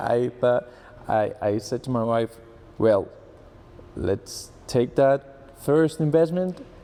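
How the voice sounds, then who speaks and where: With a Spanish accent, a man talks at a fairly slow pace and medium pitch. His tone is dark and mellow, with ordinary pitch variation. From Colombia. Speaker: engineer and trading student. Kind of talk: testimonial interview. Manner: halting with repetitions.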